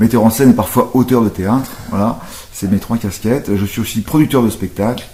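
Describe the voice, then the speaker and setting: Noticeable background noise sits behind a man's medium-pitched voice. He speaks at a fairly quick pace with fairly even intonation. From Brittany, Saint-Malo. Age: 40s. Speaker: actor and stage director. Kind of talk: interview. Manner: hesitant, many fillers.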